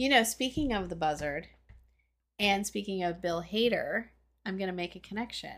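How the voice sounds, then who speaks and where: A woman's lively intonation at a moderate pace, with long, frequent pauses. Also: medium pitch for a woman, very clean recording, silent background. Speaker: podcast host. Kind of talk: casual chat.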